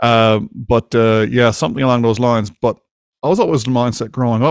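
A man in a Newfoundland accent at a fairly quick pace, dry and close with no echo, against a quiet background. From Newfoundland, Canada. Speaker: podcast host. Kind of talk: casual interview chat. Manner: fast talker.

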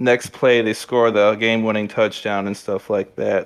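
In an American accent, a man with a normal speaking voice and medium pitch talks at a moderate pace with fairly even intonation. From Michigan. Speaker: sports podcast guest. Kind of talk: casual chat.

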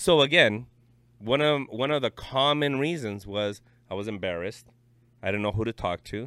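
With a normal speaking voice, a man talks at a medium pitch and with lively intonation. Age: 30s. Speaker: psychiatric technician. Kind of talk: casual chat.

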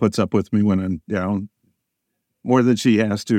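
Over a silent background in a very clean recording, a man with a fairly low voice speaks at a moderate pace with fairly even intonation. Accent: American. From US Midwest, southern Illinois. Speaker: atmospheric science professor. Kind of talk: interview.

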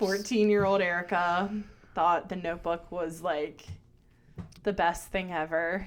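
A woman with an American accent speaks in a monotone, flat intonation. Her pace is fairly slow, broken by long, frequent pauses. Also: fairly low pitch for a woman. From Baltimore, US. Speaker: guest film fan. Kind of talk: casual chat. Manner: casual, profane.

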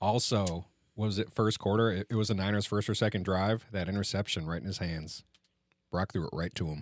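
Here is a man with a plain, everyday voice, fairly low, speaking at a fairly quick pace with fairly even intonation. The recording is very clean, with a silent background. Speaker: podcast host. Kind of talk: casual chat.

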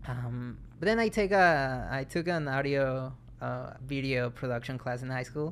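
A man talks fairly slowly. His pitch sits in the middle range. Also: ordinary pitch variation. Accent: Mexican. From Mexico. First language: Spanish. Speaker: film student, guest. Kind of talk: casual chat.

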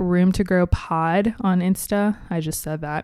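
A woman speaks at a fairly slow pace with an American accent and ordinary pitch variation, on a very clean recording with a silent background. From US Midwest, Cincinnati, Ohio. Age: 20s. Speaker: podcast host. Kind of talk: casual solo talk.

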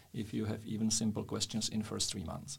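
A man with a Czech accent speaks at a medium pitch with vocal fry. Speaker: podcast host, businessman. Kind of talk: interview.

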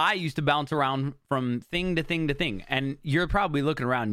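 In a very clean recording with a silent background, a man speaks at a medium pitch with ordinary pitch variation in an unremarkable speaking voice. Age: 30s. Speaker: podcast host. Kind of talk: solo monologue.

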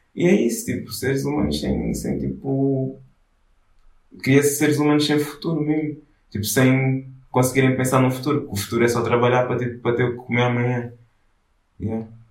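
With audible room echo, a man of medium pitch talks at a fairly quick pace with ordinary pitch variation and long, frequent pauses. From Angola. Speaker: artist collective founder. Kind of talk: casual interview. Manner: halting, many fillers.

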